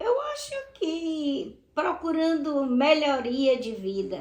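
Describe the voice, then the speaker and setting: A woman speaks at a very slow pace with lively intonation. Room echo is audible. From Brazil, southern Bahia. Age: 70s. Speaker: retired teacher. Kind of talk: interview testimony.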